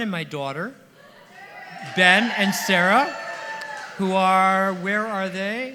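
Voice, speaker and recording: Speaking very slowly in a raised, projected voice, a man with a high pitch and ordinary pitch variation leaves long, frequent pauses, with audible room echo and noticeable background noise. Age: 70s. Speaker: songwriter celebrating his birthday. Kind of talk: party speech. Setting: stage with audience.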